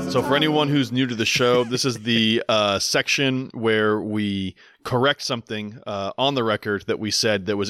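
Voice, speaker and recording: A man at medium pitch talks at a moderate pace with a bright, sharp tone and ordinary pitch variation, the sound dry and close with no echo. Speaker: podcast host. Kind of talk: casual chat.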